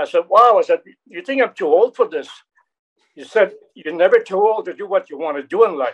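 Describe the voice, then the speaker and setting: A man at a fairly quick pace, with ordinary pitch variation and a French Canadian accent. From Quebec. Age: 70s. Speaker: action actor and martial artist. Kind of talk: interview. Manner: halting.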